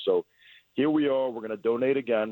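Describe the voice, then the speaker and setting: Talking at a very fast pace, a man with a Long Island accent has a medium pitch and a dark, mellow tone, in a dry, close sound with no echo. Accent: New York (Long Island). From Long Island, New York. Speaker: auto repair business owner. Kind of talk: radio interview.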